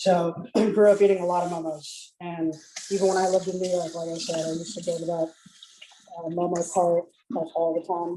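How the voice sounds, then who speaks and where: At a fairly quick pace, a man with a high voice speaks in a flat monotone. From Calcutta, India. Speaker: home cook. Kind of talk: casual chat.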